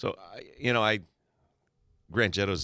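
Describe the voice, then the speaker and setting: A man speaks at a moderate pace with a bright, sharp tone and vocal fry, on a very clean recording with a silent background. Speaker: gardening radio co-host. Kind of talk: casual radio chat. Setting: radio studio. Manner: jokey, laughing, chatty.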